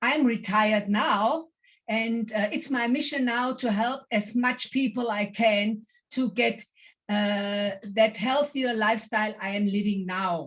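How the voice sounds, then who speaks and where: Here a woman talks at a fairly slow pace. Her fairly high voice is somewhat breathy. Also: ordinary pitch variation. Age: 60s. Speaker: network marketing distributor. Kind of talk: testimony.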